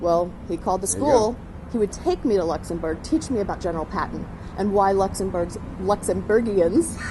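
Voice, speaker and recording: Medium-pitched woman's voice at a moderate pace, with ordinary pitch variation and noticeable background noise. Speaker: actor. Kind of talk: travel host demo.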